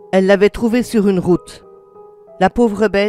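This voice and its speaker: Music plays in the background. The speaking pace is moderate. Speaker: storyteller. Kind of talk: horror story narration.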